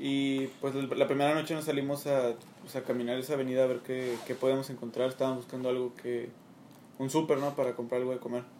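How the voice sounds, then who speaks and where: A man talks very fast in a flat monotone. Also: medium pitch for a man. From Mexico. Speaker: student team captain. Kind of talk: casual chat.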